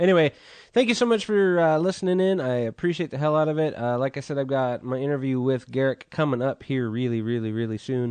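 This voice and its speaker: A man with an American accent talks at a very fast pace in a fairly high pitch, his intonation lively over a quiet background. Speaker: podcast host. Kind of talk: casual chat. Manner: casual, hesitant with many fillers.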